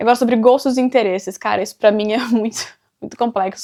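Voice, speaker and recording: A woman's animated tone at a fairly quick pace. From Brazil, interior of São Paulo state (Avaré). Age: 20s. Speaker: vlogger. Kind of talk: casual Q&A talk to camera. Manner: chatty, animated.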